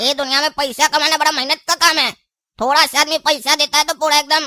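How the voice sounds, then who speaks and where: A high-pitched cartoonish character voice rattles along at a fairly quick pace. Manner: cheeky, quarrelsome.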